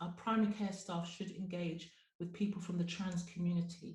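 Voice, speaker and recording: A dark, mellow voice, somewhat breathy, speaks in a flat monotone with audible room echo. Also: woman. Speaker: GP and webinar presenter. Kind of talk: webinar presentation.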